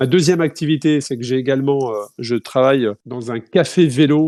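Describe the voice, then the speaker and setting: Over a silent background on a very clean recording, a man talks at a medium pitch with a dark, mellow tone and ordinary pitch variation. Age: 40s. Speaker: ultra-distance cyclist and event organizer. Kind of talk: podcast interview. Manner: hesitant, many fillers.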